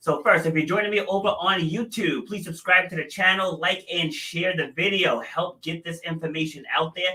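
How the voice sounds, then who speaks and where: The delivery runs at a moderate pace with hardly any pauses and fairly even intonation. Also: man, high pitch for a man. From New England. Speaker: podcast host. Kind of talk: interview podcast.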